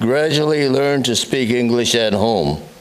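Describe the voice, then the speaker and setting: A man with a medium-pitched voice talks at a fairly slow pace with ordinary pitch variation, over noticeable background noise and audible room echo. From USA. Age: 90s. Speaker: war veteran. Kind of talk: public speech. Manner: halting.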